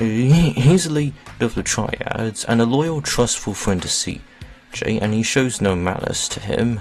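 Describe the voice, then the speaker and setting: Lively intonation marks this man's medium-pitched voice. Music runs in the background. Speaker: gaming video narrator. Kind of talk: video game ranking commentary. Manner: halting, many fillers and repetitions.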